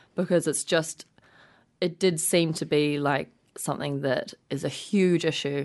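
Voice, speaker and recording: With a New Zealand accent, a woman talks in a very deep, low voice. Her intonation is monotone and flat, and the background is quiet. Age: 20s. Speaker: nonprofit co-founder. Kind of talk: radio interview.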